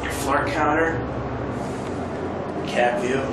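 Over loud background noise and audible room echo, a man speaks at a fairly slow pace. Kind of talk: casual commentary. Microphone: phone near.

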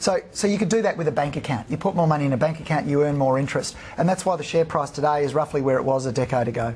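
A man with an Australian accent, very fast pace, hardly any pauses and ordinary pitch variation. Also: fairly high pitch for a man. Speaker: fund manager. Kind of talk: TV interview, stock analysis. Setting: TV studio. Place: studio. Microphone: lapel.

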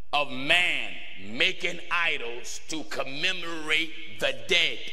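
A man speaks at a very slow pace with long, frequent pauses. His pitch is fairly high, with ordinary variation. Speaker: preacher. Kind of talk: sermon. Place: church. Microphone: podium.

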